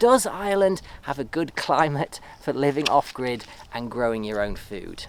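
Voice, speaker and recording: At a moderate pace, the speaker talks in a relaxed tone with an English accent. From England. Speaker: off-grid homesteader and video creator. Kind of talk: casual vlog talk to camera. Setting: outdoors in a field with donkeys. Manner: relaxed, with fillers.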